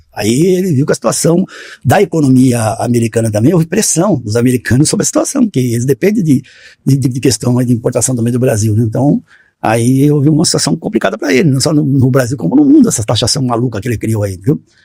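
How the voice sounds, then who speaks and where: A man's medium-pitched, somewhat breathy voice with a dark, mellow tone, lively intonation, and a very fast pace, in a dry, close sound with no echo. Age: 60s. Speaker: postal worker. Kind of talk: casual chat.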